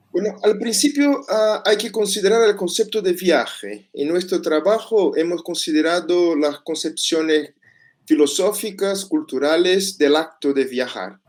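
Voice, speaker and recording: Fairly slow speech from a high-pitched man with a Portuguese accent and lively intonation. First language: Portuguese (speaking Spanish). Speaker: master's student researcher. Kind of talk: conference presentation. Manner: halting.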